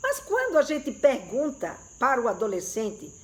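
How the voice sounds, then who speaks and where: This is a woman's voice. Her pitch is high. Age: 60s. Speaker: sex educator. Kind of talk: live stream talk to viewers. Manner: conversational, hesitant fillers.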